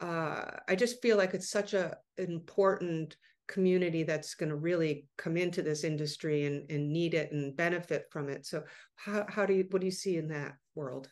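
This is a woman with a normal speaking voice, fairly low in pitch, at a moderate pace. Her pitch varies in an ordinary way, and the background is quiet. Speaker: podcast host, cannabis marketer. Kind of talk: casual interview.

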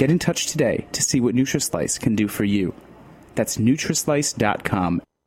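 In an ordinary speaking voice, a man of medium pitch talks at a moderate pace with lively intonation and very even loudness. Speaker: announcer. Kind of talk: scripted narration.

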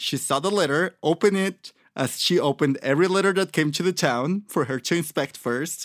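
A man's high-pitched voice in a Mexican accent, fairly quick and with hardly any pauses, ordinary pitch variation, on a very clean recording with a silent background. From Mexico, Michoacan. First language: Spanish. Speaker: podcast co-host. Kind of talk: casual chat.

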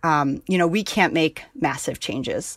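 On a very clean recording with a silent background, a woman with an American accent speaks slowly-ish in a plain, everyday voice, her pitch fairly low. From New York, Hudson Valley. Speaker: farmer. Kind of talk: interview.

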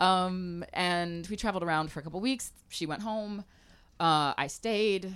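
A woman with an American accent has an ordinary speaking voice, a medium pitch and ordinary pitch variation, speaking at a fairly slow pace. The recording is very clean, with a silent background. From US South, Mobile, Alabama. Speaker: chef and restaurant owner. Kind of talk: interview conversation. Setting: live broadcast in a trailer at a food festival.

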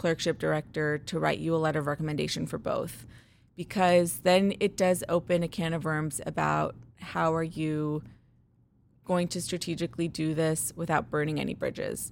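On a very clean recording with a silent background, a woman with an American accent and a fairly low pitch speaks at a moderate pace in a normal speaking voice. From Chicago, US Midwest. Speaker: ob-gyn resident physician. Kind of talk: interview.

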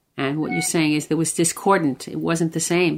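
The speaker is a woman. Vocal fry runs through her voice. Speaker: podcast co-host. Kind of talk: interview.

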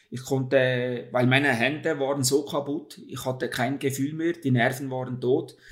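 Fairly slow in pace, a man talks at a medium pitch. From Switzerland. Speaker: ultra-distance cyclist. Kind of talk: interview. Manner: hesitant with filler sounds.

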